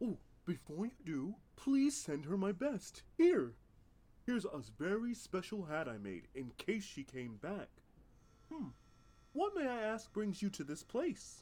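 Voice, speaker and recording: Pausing long and often, a man speaks at a fairly slow pace in a high pitch with very wide pitch swings. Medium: audio drama. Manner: nervous, fussy, hushed.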